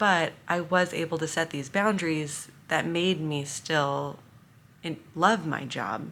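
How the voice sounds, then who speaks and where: A woman speaks at a very slow pace in a fairly low voice. The recording is very clean, with a silent background. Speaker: former teacher, inclusion advocate. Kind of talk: casual vlog talk to camera. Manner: monotone.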